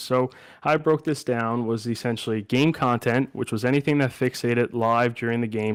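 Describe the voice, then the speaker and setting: A man in a plain, everyday voice talks fairly quickly at a medium pitch with fairly even intonation, on a very clean recording with a silent background and a dry, close sound with no echo. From Canada, Newfoundland (Clarenville). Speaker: graduate student presenter. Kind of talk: research presentation.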